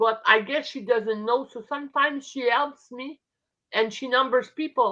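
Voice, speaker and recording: A woman with a French Canadian accent speaks at a moderate pace in a high, bright, sharp voice, with fairly even intonation and big swings in loudness. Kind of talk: casual chat. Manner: halting.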